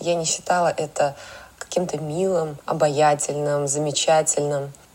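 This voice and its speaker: A woman speaking at a fairly slow pace amid noticeable background noise. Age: 30s. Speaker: makeup artist and stylist. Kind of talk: personal story.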